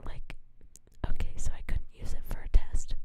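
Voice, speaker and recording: A whisper delivered at a moderate pace. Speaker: ASMR streamer. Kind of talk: whispered casual chat. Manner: whispering; halting, repetitive filler.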